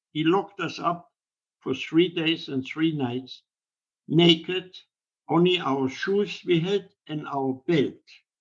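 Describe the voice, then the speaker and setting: A man with a German accent, fairly high pitch, ordinary pitch variation and a fairly slow pace. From Germany. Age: 80s+. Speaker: Holocaust survivor. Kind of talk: interview answer.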